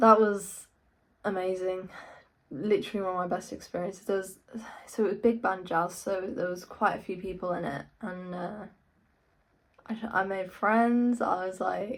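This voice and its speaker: A woman speaks at a moderate pace with an English accent and a medium pitch. Her intonation is fairly even, broken by long, frequent pauses. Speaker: guitarist and YouTuber. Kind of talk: casual vlog talk. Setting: in own room.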